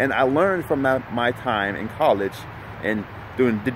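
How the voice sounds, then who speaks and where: A man speaks over noticeable background noise. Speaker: motivational speaker and life coach. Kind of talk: motivational vlog talk. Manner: halting with repetitions.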